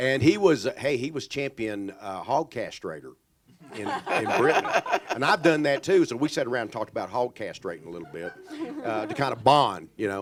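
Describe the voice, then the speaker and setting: Over noticeable background noise, a man with a Texas accent speaks at medium pitch. His pitch swings very widely and his loudness rises and falls sharply. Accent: Texas drawl. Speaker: author. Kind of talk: panel Q&A.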